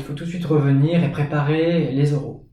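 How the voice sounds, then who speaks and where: Monotone, flat intonation against audible room echo. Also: man. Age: 20s. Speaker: teacher and graduate student. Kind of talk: interview.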